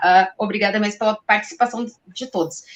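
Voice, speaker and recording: A woman speaks at a moderate pace. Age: 40s. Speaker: journalist and show host. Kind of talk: live interview show.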